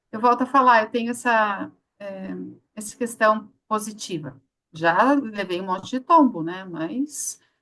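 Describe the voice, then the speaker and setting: The tone is bright and sharp, with lively intonation. Loudness swings widely at a fairly slow pace. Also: woman, fairly high pitch for a woman. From Curitiba, southern Brazil. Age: 50s. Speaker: psychologist, HR consultant. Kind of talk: live interview.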